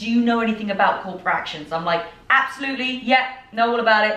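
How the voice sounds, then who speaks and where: With noticeable background noise and audible room echo, a woman in a British accent speaks in an animated tone at a fairly high pitch with ordinary pitch variation. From southern England. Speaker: fitness and personal development podcaster. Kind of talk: personal storytelling podcast.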